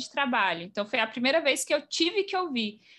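On a very clean recording with a silent background, a woman uses a raised, projected voice with a high pitch and a bright, sharp tone. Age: 20s. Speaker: mobile software engineer. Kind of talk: casual interview.

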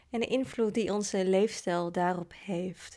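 Her delivery is fairly slow with fairly even intonation, a woman in a plain, everyday voice on a very clean recording, silent background. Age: 30s. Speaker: podcast host. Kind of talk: personal narrative. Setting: in person, face to face.

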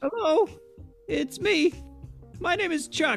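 A put-on, squeaky character voice moves at a fairly slow pace with clear music in the background. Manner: stammering, halting.

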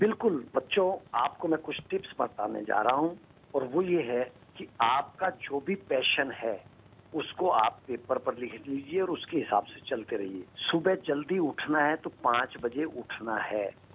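A man with a fairly high pitch uses lively intonation in a plain, everyday voice. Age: 50s. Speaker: blogger and motivational speaker. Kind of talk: interview giving advice to children.

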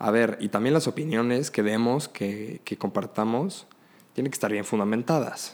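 A man with an unremarkable speaking voice at medium pitch talks at a moderate pace with ordinary pitch variation, in a very clean recording with a silent background. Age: 20s. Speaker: law student and emergency medical technician. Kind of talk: casual chat.

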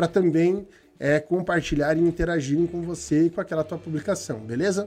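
Music plays behind a man speaking at a moderate pace. His voice is high, with ordinary pitch variation. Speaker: digital marketing agency owner. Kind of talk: live stream chat. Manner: occasional coughing.

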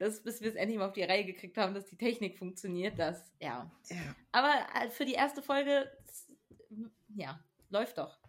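Her medium-pitched voice lively in intonation, a woman speaks at a moderate pace with big swings in loudness and long, frequent pauses. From US (Texas) then Germany. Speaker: podcast co-host. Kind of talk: casual chat.

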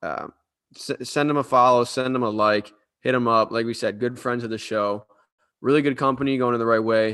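A man with an American accent speaks in an ordinary speaking voice at medium pitch and a moderate pace, his intonation fairly even over a quiet background. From Cleveland, Ohio. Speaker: podcast co-host. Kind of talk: ad read; casual sports chat.

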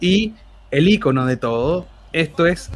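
In a Chilean accent, a man talks with a somewhat breathy voice and ordinary pitch variation. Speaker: humor researcher and author. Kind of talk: casual chat.

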